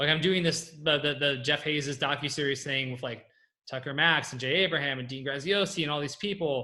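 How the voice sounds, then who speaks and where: This man speaks with a West Coast US accent at a fairly high pitch. His pace is fairly quick and his intonation fairly even. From California. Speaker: copywriter and entrepreneur. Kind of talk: Q&A on a group call. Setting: group call. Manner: fast.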